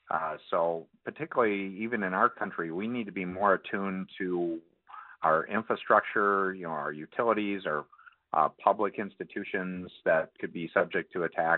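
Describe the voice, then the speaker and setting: With a normal speaking voice, a man talks at a moderate pace, his fairly low pitch showing ordinary pitch variation. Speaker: cybersecurity expert. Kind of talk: radio interview.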